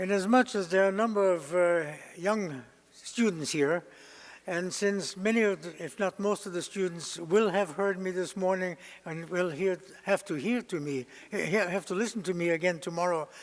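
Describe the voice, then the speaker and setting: A high-pitched man with a German accent talks at a moderate pace. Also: ordinary pitch variation. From Germany (Berlin). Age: 90s. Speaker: Holocaust survivor speaker. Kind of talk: testimony. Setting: lecture hall with audience. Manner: halting, many hesitations.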